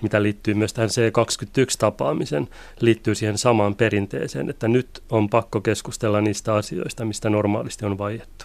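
Fairly low-pitched man with an ordinary speaking voice, fairly even intonation and a moderate pace. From Finland, Pori. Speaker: migration researcher. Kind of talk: radio interview.

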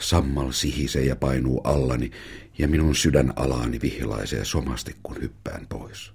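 This man has a very deep, low voice and a warm tone. He speaks at a fairly slow pace over noticeable background noise. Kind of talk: audiobook reading of a memoir, narrated in a child's first-person voice.

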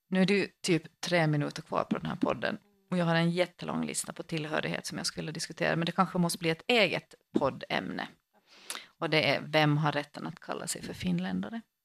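Recorded dry and close with no echo, a woman speaks at a fairly quick pace. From Finland, Swedish-speaking archipelago. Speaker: priest and podcast co-host. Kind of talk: casual chat.

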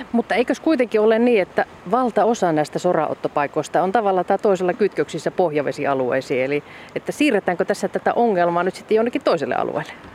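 There is noticeable background noise. The talking runs at a very fast pace. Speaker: radio reporter. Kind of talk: radio interview. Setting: outdoors by flowing water.

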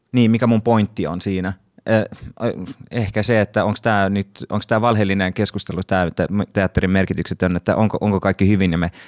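A man talks fairly quickly with a very deep, low pitch and fairly even intonation, in a very clean recording with a silent background and a dry, close sound with no echo. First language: Swedish (speaking Finnish). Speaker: actor and podcast moderator. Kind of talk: casual panel discussion. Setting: studio.

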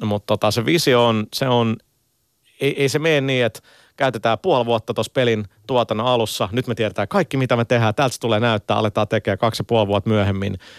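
Speaking at a very fast pace with very even loudness and ordinary pitch variation, a man comes through dry and close with no echo on a very clean recording with a silent background. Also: medium pitch for a man. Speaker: game company communications director. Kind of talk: radio interview. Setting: studio. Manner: halting, many repetitions and fillers.

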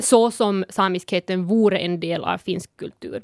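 Her pitch medium with ordinary variation, a woman speaks on a very clean recording with a silent background and a dry, close sound with no echo. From Sápmi, northern Finland. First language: Northern Sami (speaking Swedish). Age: 20s. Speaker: activist and podcast panelist. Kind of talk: casual chat. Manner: halting, many fillers.

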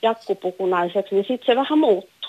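A woman speaks in an ordinary speaking voice at a moderate pace, her pitch fairly high with ordinary pitch variation. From Finland, Häme. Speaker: caller. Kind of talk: phone-in discussion.

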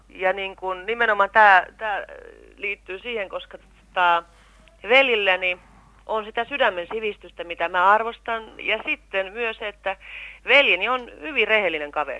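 Here a woman uses an ordinary speaking voice at a medium pitch, with ordinary pitch variation. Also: fairly slow pace. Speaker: actress, guest's sister. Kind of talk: interview testimony.

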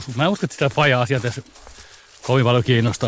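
Noticeable background noise behind a man's medium-pitched voice and its ordinary pitch movement. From Helsinki, Finland. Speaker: comedian. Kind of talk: personal testimony. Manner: halting.

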